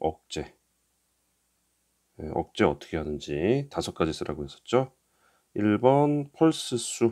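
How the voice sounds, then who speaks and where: Very slow and broken by long, frequent pauses, a man's fairly low, dark, mellow voice moves through very wide pitch swings. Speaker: exam prep instructor. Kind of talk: lecture.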